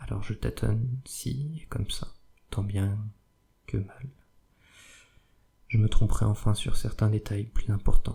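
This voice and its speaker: A man's soft-spoken, somewhat breathy whisper at a very slow pace, with long, frequent pauses and big swings in loudness. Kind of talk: whispered audiobook reading of a novel, ASMR. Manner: whispered, soft-spoken.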